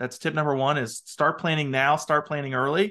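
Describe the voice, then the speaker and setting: Speaking fairly quickly in a bright, sharp tone, a man with a Midwestern American accent is heard over a quiet background. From US Midwest, small town. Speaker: part-time CFO for law firms. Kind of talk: podcast interview.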